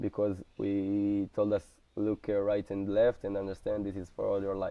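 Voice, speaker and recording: This voice has an Israeli accent. Its intonation stays monotone and flat. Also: man, fairly low pitch for a man, moderate pace. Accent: Israeli Hebrew. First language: Hebrew. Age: 20s. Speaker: soldier. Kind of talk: interview. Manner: halting.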